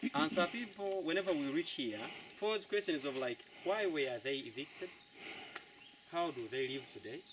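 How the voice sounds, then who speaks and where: Amid noticeable background noise, a man with a fairly high pitch and lively intonation talks at a moderate pace with long, frequent pauses. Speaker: local tour guide. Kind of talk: guided tour talk.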